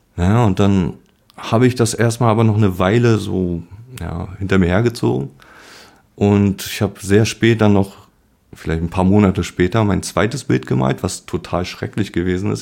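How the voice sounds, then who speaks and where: A man's fairly low voice with vocal fry, at a moderate pace with ordinary pitch variation. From born in Poland, grew up in Germany. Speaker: painter with multiple sclerosis. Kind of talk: interview. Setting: at the guest's home. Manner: halting.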